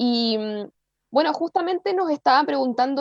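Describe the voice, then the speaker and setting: A woman is speaking. She has a Chilean accent. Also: dry, close sound with no echo. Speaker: podcast co-host. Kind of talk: casual chat.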